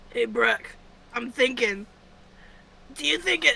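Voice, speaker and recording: Someone puts on a raspy, fairly high-pitched character voice and speaks at a fairly slow pace. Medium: actual play.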